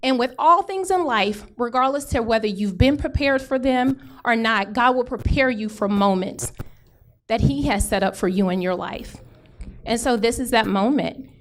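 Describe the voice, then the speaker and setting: At a moderate pace and with lively intonation, a woman talks in an unremarkable speaking voice. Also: fairly high pitch for a woman. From Houston, Texas. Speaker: political candidate. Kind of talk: campaign speech. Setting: town hall meeting with audience.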